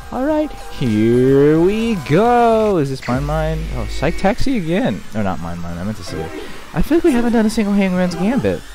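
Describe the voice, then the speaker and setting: Music is audible behind the voice. The delivery moves at a moderate speed. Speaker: gaming video creator. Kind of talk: let's play commentary. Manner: casual, animated; talking quietly.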